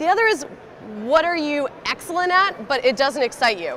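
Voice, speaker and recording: Over noticeable background noise, a woman talks loudly with very wide pitch swings. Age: young. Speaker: job search expert. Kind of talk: presentation.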